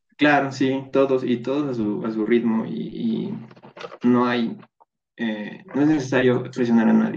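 Here a man talks at a fairly slow pace. His pitch is medium and varies in an ordinary way. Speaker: pharmaceutical chemist. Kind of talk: casual chat.

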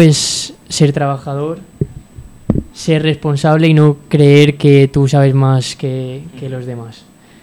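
A man with a fairly high pitch speaks at a very slow pace. His intonation is monotone and flat, with noticeable background noise behind him. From Valencia region, Spain (Puerto de Sagunto). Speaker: football fitness coach. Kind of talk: radio interview. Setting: radio studio.

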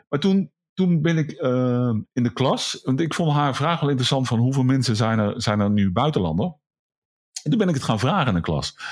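At a moderate pace and very even loudness, the voice makes very wide pitch swings in a very clean recording with a silent background. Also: man, medium pitch for a man. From Netherlands, Brabant. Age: 50s. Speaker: vocational school teacher and photographer. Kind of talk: casual chat.

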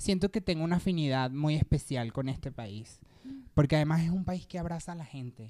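The voice has a dark, mellow tone, moving at a fairly quick pace with lively intonation and big swings in loudness. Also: woman, very deep, low pitch for a woman. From Venezuela, Petare (Caracas). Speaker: singer. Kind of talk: casual chat.

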